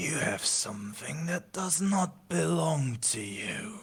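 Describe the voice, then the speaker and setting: In a put-on character voice, the speaker talks at a fairly slow pace in a low-to-middle pitch with very wide pitch swings. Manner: menacing, accusing.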